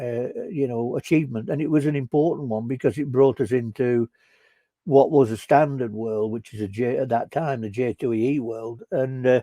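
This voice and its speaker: A man speaks with a Northern English accent and a dark, mellow tone. The sound is dry and close with no echo, and his pitch varies in an ordinary way. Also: medium pitch for a man, moderate pace. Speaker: software consultant. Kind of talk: conference talk discussion. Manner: halting, many fillers.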